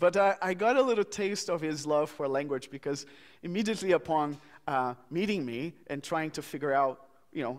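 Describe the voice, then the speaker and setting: A man with a Portuguese accent, fairly high in pitch, with lively intonation at a moderate pace, on a very clean recording with a silent background. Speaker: minister. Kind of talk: eulogy at memorial service. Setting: church memorial service.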